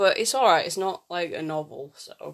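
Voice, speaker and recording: This voice comes with a British accent. Words move at a fairly quick pace. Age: 20s. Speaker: podcaster. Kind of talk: solo casual monologue.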